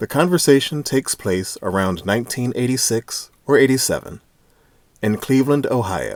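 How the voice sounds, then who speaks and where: Very clean recording with a silent background, a man's normal speaking voice, medium pitch, lively intonation and moderate pace. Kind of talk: reading a short introduction.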